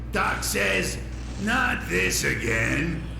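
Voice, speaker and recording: A man speaks in a put-on character voice. Clear echo and loud background noise surround him. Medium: game stream. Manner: deadpan.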